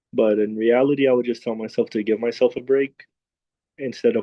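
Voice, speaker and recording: Soft-spoken and monotone, a man talks with flat intonation. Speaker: student panelist, aspiring teacher. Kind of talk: panel discussion. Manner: quiet.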